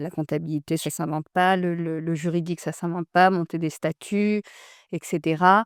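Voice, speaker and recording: In a very clean recording with a silent background and a dry, close sound with no echo, a woman speaks in a plain, everyday voice with fairly low pitch and fairly even intonation. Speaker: entrepreneur. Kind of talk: interview.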